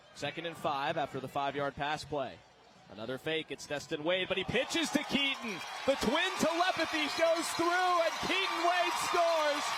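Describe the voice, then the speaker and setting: With an extremely high pitch and very wide pitch swings, a man speaks in a raised, projected voice at a moderate pace against noticeable background noise. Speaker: sports broadcaster. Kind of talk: football play-by-play commentary. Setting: live stadium broadcast.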